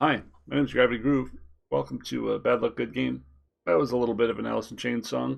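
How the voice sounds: A man does a put-on character voice, raspy and at medium pitch, rattling along at a very fast pace.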